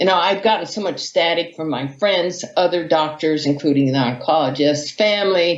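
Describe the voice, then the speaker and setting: A woman uses an ordinary speaking voice, fairly low in pitch with ordinary pitch variation, moving at a moderate pace with hardly any pauses. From US, Hawaii. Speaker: vegan athlete and author. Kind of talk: interview storytelling.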